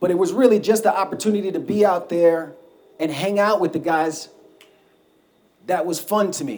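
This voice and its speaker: At a moderate pace, a man with an American accent and a high pitch speaks with ordinary pitch variation and long, frequent pauses. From Brooklyn, New York. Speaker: war veteran and mountaineer. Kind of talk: talk to a live audience.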